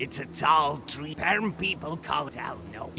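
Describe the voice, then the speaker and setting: A man puts on a growling character voice at a fairly high pitch, speaking at a moderate pace over clear background noise. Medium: video game. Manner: growling, cryptic.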